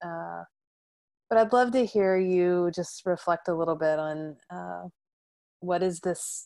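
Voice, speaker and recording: A woman speaks at a very slow pace with long, frequent pauses. Her voice sits fairly low in pitch with a dark, mellow tone. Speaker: podcast host. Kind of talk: interview conversation. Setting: video call.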